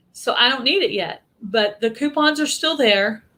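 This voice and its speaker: A woman talks at a moderate pace in a Texan accent. Her pitch varies in an ordinary way. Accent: Texas Southern US. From Texas. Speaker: YouTube channel host. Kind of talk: casual live stream chat.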